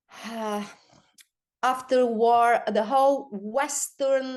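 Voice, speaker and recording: A woman speaks in a Bulgarian accent. Her pitch varies in an ordinary way. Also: quiet background. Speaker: performance artist. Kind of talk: online talk presentation. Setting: video call. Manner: halting, many fillers and repeats.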